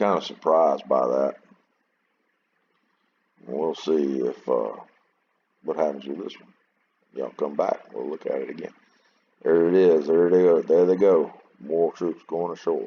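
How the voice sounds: The voice has a slightly husky edge and leaves long, frequent pauses. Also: man, extremely low pitch for a man, fairly even intonation, fairly slow pace.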